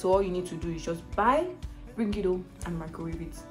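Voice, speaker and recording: A woman with a Nigerian accent at a fairly quick pace, music in the background. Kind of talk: casual talk to camera. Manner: chatty, frequent fillers.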